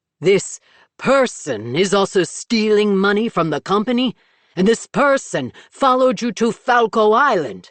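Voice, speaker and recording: Here is a put-on character voice pitched fairly high. It moves at a moderate pace. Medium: read story. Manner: sharp, suspicious.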